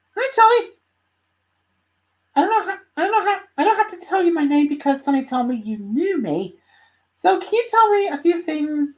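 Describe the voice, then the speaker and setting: In a put-on character voice, a man talks extremely high, squeaky and bubbly. He moves at a moderate pace with long, frequent pauses. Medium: read story. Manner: bubbly, curious.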